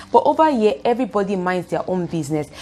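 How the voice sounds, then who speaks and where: This woman speaks with a Nigerian accent at medium pitch. Her pace is fairly quick. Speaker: youtuber. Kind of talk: vlog talk to camera. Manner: fast; animated.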